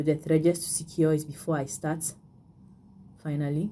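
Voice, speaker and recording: A woman's voice has a dark, mellow tone. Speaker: beading tutorial creator; bead craft instructor. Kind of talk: tutorial. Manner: halting, many fillers and repeats. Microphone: phone near.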